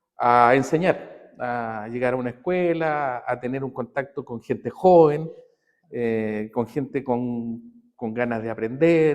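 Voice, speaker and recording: Speech from this man comes very slowly. His pitch is medium and varies in an ordinary way. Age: 60s. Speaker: physiotherapy professor and aikido practitioner. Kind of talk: interview conversation. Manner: halting, many fillers.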